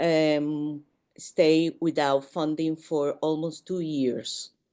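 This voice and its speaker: In a Spanish accent, a woman speaks very slowly with a very deep, low pitch and a dark, mellow tone. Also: quiet background. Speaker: museum professional. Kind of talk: panel discussion. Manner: halting.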